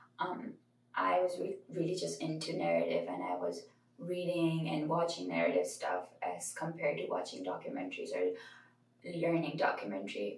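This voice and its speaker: Noticeable background noise and audible room echo around a woman's moderate-paced speech. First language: not English. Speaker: college student. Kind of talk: informal talk to camera about studies. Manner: casual, with hesitations.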